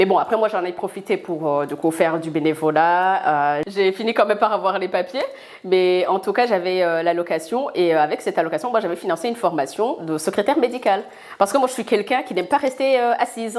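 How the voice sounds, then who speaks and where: A woman speaks at a fairly quick pace with lively intonation at a medium pitch. Noticeable background noise is present. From Burundi. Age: 30s. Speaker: food entrepreneur. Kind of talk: interview. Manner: hesitant, many fillers.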